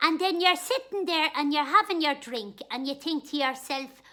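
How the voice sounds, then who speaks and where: A woman puts on a character voice in a strong Dublin accent, high-pitched and at a moderate pace. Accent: strong Dublin Irish. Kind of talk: comic character monologue. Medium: solo performance. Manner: chatty, homely, comic.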